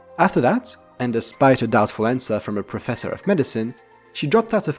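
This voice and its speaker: A man talks with very wide swings in pitch. Music plays in the background. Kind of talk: documentary narration.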